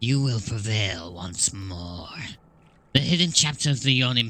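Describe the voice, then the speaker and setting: A man puts on a raspy character voice at medium pitch. He talks at a moderate pace with lively intonation. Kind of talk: dark fantasy narration. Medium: game stream. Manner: solemn, portentous.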